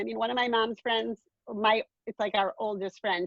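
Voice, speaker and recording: With vocal fry at a moderate pace, the voice has a dry, close sound with no echo. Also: woman. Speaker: artist. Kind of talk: casual chat. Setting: video call. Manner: animated.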